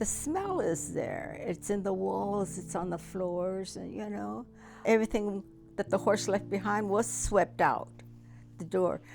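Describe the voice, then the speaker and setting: Music plays in the background as a woman speaks with an American accent. Her pace is fairly slow. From United States. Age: 80s+. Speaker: Japanese American internment survivor. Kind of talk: interview answer.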